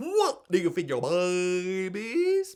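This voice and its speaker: A man's put-on character voice, high-pitched. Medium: read story. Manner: cheery, wide-mouthed.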